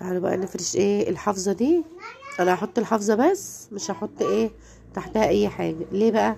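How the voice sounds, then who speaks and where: A woman speaks at a moderate pace in an Egyptian accent. Noticeable background noise can be heard. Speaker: home lifestyle vlogger. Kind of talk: home routine vlog narration. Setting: at home.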